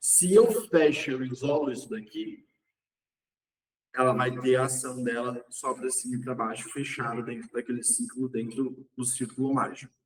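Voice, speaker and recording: A man with a plain, everyday voice speaks at a medium pitch. His pace is moderate and his intonation fairly even. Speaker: umbanda teacher. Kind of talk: online lecture.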